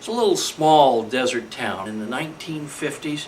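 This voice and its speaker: Noticeable background noise and audible room echo surround the speaker. He is a man with an American accent and a fairly high voice. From California, US. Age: 60s. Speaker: model railroader. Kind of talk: scripted narration.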